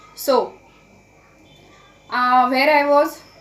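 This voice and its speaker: A woman's high-pitched voice with ordinary pitch variation, plus audible room echo and noticeable background noise. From India. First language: Marathi. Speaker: English learning YouTuber. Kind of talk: casual vlog talk to camera. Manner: halting, with fillers and self-corrections.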